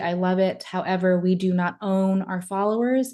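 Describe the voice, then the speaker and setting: A woman's medium-pitched, monotone and flat voice against a quiet background. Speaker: social media marketing consultant. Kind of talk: webinar presentation. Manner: fast.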